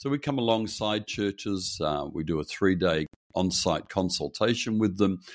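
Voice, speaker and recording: A fairly low male voice with lively intonation, in an Australian accent. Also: moderate pace. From Perth, Western Australia. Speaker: pastor. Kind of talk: interview.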